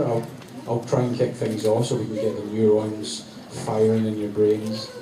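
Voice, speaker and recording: A man is speaking. Both noticeable background noise and audible room echo are present. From Scotland. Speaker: convention panel moderator. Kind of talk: live event hosting. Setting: stage with audience. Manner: animated; loud.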